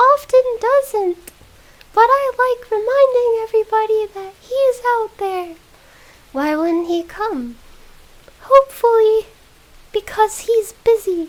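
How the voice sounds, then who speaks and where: In a put-on character voice, a woman speaks extremely high and squeaky, raised and projected, at a fairly slow pace with long, frequent pauses and big swings in loudness. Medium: game stream.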